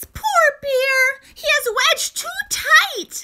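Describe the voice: In a put-on character voice, a woman speaks squeaky and extremely high at a very slow pace.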